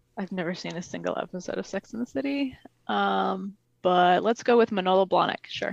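A woman with an American accent at a fairly quick pace, dry and close with no echo. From Michigan. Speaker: trivia contestant. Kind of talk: casual chat.

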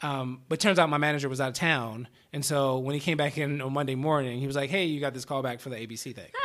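Over noticeable background noise, someone with an American accent talks at a very fast pace with fairly even intonation. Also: man, fairly high pitch for a man. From US, Baltimore, Maryland. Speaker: actor. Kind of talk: casual interview chat. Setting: podcast studio. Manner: mumbles a lot.

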